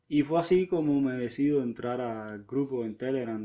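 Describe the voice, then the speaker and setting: His pitch sits at a medium level and varies in an ordinary way as this man uses a normal speaking voice. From Havana, Cuba. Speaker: amateur runner. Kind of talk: recorded personal testimony.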